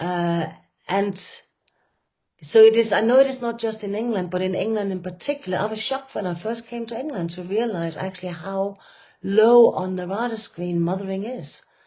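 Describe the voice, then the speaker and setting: With a Danish accent, a woman speaks at a moderate pace in a medium pitch and a dark, mellow tone, her loudness swinging widely. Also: ordinary pitch variation. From Denmark. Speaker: retreat facilitator. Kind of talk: conversational talk. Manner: halting, with many fillers.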